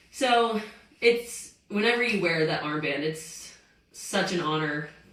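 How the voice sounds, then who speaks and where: There is noticeable background noise and audible room echo as a woman speaks at a fairly low pitch with ordinary pitch variation. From US South, Greenville, South Carolina. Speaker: professional soccer player. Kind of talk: interview. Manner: animated.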